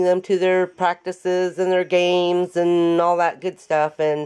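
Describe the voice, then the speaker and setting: A woman with a West Coast accent at a fairly slow pace. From US Pacific Northwest (Oregon). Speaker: craft tutorial host. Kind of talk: casual chat.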